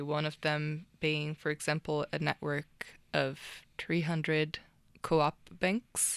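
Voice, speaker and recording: Deep, very low pitch marks this woman's voice, with a Portuguese accent. The sound is dry and close, with no echo. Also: very clean recording, silent background. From Brazil. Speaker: tech founder. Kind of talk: interview.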